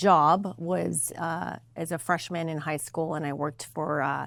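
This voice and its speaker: A woman with a Spanish accent, fairly low in pitch, ordinary pitch variation, a very slow pace, very clean recording and silent background. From Mexico, then Sparks and Reno, Nevada from age nine. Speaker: political candidate, lawyer. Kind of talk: interview.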